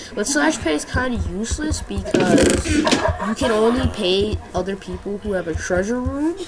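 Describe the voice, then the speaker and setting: A woman's medium-pitched voice with very wide pitch swings, a moderate pace, and noticeable background noise. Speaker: gaming youtuber. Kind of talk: gameplay tutorial.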